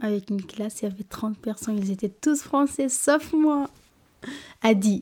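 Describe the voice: A woman with a fairly high, slightly mellow voice speaks at a fairly slow pace with ordinary pitch variation.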